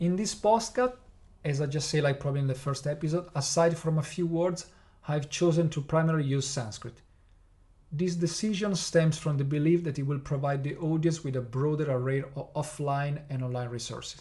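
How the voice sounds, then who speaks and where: A somewhat breathy, dark, mellow voice with an Italian accent, ordinary pitch variation, a fairly quick pace and audible room echo. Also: man, fairly high pitch for a man. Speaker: podcast host teaching Buddhism. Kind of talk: lecture-style podcast narration. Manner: partly scripted with hesitations.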